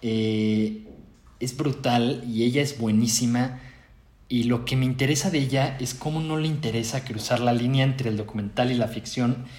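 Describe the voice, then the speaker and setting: A man with a Mexican accent speaks in a somewhat breathy voice with fairly even intonation, with audible room echo around him. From Mexico. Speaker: film director. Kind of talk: interview. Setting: remote recording.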